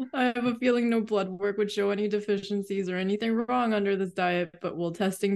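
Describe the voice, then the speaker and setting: Against a quiet background, a woman uses a plain, everyday voice. Her medium pitch follows fairly even intonation. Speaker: podcast co-host. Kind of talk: casual chat.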